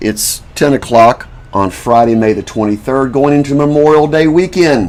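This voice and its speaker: Noticeable background noise runs through the clip. A man's voice is heard at a medium pitch. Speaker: self-made video commentator and inventor. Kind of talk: casual monologue to camera. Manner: slow.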